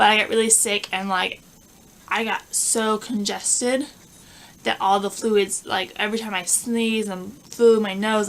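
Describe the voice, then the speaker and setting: A woman mumbles at a moderate pace and medium pitch with fairly even intonation, with noticeable background noise behind her. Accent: American. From Southern California. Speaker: lifestyle vlogger. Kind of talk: casual chat. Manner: mumbling; halting.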